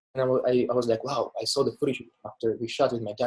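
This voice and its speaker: At a very fast pace, a man talks in a somewhat breathy voice. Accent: Bulgarian. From Bulgaria. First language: Bulgarian. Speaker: filmmaker. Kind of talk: interview. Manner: casual, with many fillers.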